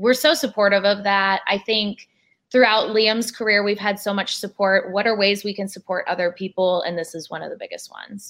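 A woman with a plain, everyday voice, at medium pitch, talks at a fairly quick pace with fairly even intonation and big swings in loudness. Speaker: athlete's wife. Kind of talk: interview. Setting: video call.

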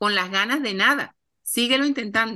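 The voice has a bright, sharp tone and lively intonation, moving at a moderate pace over a quiet background. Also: woman. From Colombia. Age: 50s. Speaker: TV producer and author. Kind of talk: interview.

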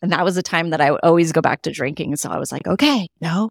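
A woman's fairly low-pitched voice with an American accent, a normal speaking voice and lively intonation. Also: dry, close sound with no echo. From California. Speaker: alcohol and life transformation coach. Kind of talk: casual interview chat.

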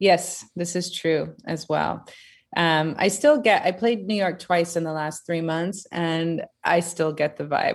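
With an American accent and an unremarkable speaking voice, a woman speaks at a fairly low pitch and a fairly slow pace with fairly even intonation against a quiet background. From US, Seattle area. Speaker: DJ and electronic music producer. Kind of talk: casual chat.

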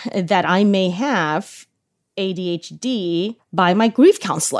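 A woman's medium-pitched voice carries lively intonation on a very clean recording with a silent background. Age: 40s. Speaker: influencer marketing executive. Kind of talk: interview about personal experience.

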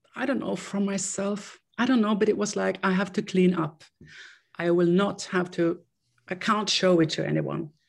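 With a Swedish accent, a woman speaks at medium pitch and a moderate pace. Her voice carries vocal fry, and her intonation stays fairly even. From Sweden. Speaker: interviewee sharing recovery story. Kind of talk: interview, personal testimony. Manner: halting.

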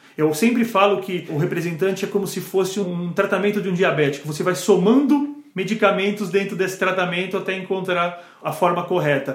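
Moderate pace, with audible room echo and noticeable background noise. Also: man. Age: 40s. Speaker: pharmaceutical sales manager. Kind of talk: casual interview chat.

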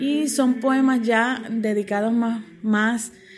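Her voice fairly high, a woman speaks at a very slow pace. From Puerto Rico, Mayagüez. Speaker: poet and professor. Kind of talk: interview.

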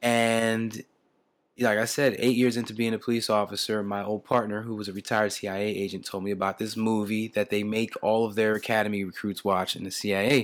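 A man's medium-pitched voice with a New Jersey accent, at a fairly quick pace, on a very clean recording with a silent background. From US Northeast, Camden, New Jersey. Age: 40s. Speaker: retired police officer, law of attraction speaker. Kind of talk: interview.

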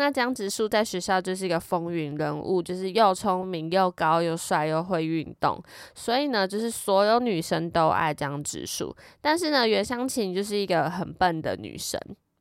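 A woman with a Taiwanese accent speaks at a medium pitch and a moderate pace. Her tone is animated and her intonation lively, on a very clean recording with a silent background. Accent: Taiwanese Mandarin. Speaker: podcast host. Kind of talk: casual storytelling monologue. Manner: animated, laughs often.

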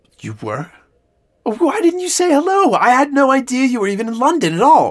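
In a put-on character voice, a man speaks at a fairly quick pace with extremely high pitch and very wide pitch swings.

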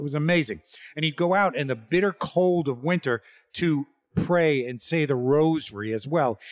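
A man with a New York accent, lively intonation and a moderate pace, in a dry, close sound with no echo. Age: 60s. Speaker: storyteller, former religious brother. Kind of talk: storytelling performance. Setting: theater stage with audience.

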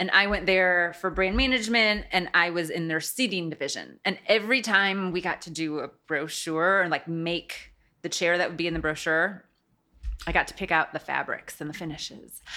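A woman speaks with a Midwestern American accent at a moderate pace, her fairly low voice bright and sharp in tone. Her pitch varies in an ordinary way on a very clean recording with a silent background. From US Midwest. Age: 40s. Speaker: interior design firm owner. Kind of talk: casual interview. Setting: studio.

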